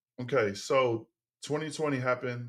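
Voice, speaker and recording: The man's intonation stays fairly even. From Texas. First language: Tongan. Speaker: former football player and teacher turned business owner. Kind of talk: podcast interview. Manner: halting with many fillers and repetitions.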